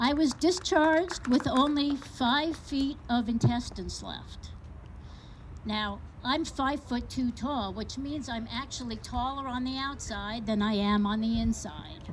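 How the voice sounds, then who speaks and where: Her high pitch stands out as a woman talks at a fairly slow pace. Audible room echo fills the recording. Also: ordinary pitch variation. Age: 60s. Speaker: patient advocate speaker. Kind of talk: public speech. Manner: animated.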